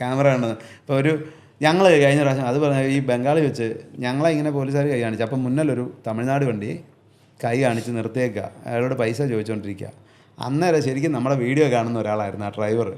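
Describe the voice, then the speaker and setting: Audible room echo follows a man whose pitch varies in an ordinary way. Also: medium pitch for a man. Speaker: truck driver. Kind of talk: casual chat.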